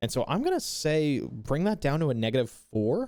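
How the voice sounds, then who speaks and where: Keeping a moderate pace, a man speaks with lively intonation. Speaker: streamer. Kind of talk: casual chat. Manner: pitch varies, rises when excited.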